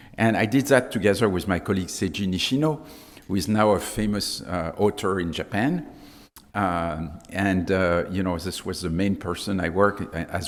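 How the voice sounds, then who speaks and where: With a French accent, a man with a very deep, low pitch speaks at a moderate pace with ordinary pitch variation. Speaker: sleep medicine professor. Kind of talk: conference talk.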